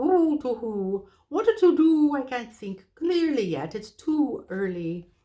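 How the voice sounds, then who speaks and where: A female-sounding, put-on character voice sits high in pitch and swings very widely. It moves at a fairly slow pace with hardly any pauses. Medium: read story. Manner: hooting, a little flustered.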